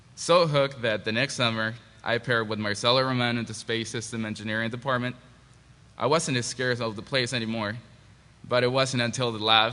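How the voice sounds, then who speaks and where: At a fairly quick pace, a man of medium pitch speaks with a bright, sharp tone and fairly even intonation. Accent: Spanish. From Mexico. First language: Spanish. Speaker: engineering graduate. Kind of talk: panel presentation. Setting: panel at a forum. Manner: halting.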